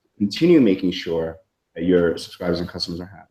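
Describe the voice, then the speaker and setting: In an American accent, a man with a dark, mellow tone and fairly low pitch speaks at a very fast pace. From New York. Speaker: software marketer. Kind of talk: interview. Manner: halting, many fillers.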